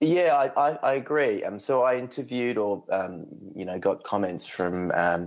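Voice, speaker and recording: This is a man's voice. He speaks with an Australian accent. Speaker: journalist. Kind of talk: radio interview.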